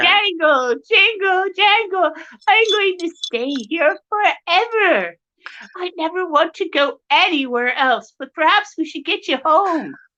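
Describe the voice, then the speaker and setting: A woman puts on a character voice with an extremely high pitch. She speaks at a fairly slow pace. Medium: read story.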